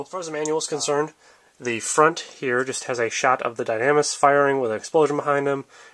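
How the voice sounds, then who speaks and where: Medium in pitch, a man speaks at a very fast pace. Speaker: model kit reviewer. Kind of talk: casual review talk to camera.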